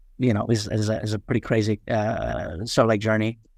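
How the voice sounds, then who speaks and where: Talking at a very fast pace, this man has a New York accent. His voice is fairly low in pitch. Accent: New York American. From New York City (Queens), moved from Nepal at seven. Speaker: startup founder. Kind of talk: podcast interview. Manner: many fillers and repetitions.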